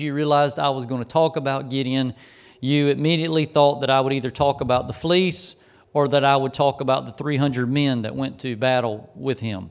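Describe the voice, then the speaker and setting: At a fairly quick pace, a man speaks in a fairly high pitch. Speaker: pastor. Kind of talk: sermon. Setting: church. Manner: speeds up when excited.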